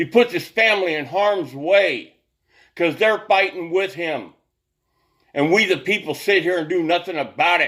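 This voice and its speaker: On a very clean recording with a silent background, a man with a high pitch speaks at a moderate pace. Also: ordinary pitch variation. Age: 60s. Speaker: political commentator vlogger. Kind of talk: political rant. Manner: animated.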